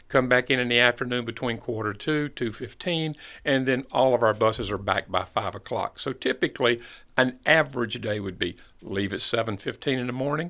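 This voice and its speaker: In a very clean recording with a silent background, a man with a slight Southern US accent speaks at a moderate pace and medium pitch, with ordinary pitch variation and a bright, sharp tone. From US South, North Carolina (Fayetteville). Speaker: school bus company manager. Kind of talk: podcast interview.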